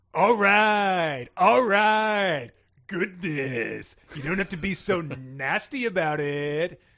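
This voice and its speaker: A man puts on a high-pitched character voice. He talks very slowly over a quiet background. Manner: sarcastic.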